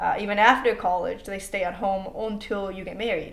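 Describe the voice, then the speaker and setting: A woman's medium-pitched voice at a moderate pace, with fairly even intonation and audible room echo. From Mexico. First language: Spanish. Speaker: international student. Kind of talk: interview. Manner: casual, with many fillers and repetitions.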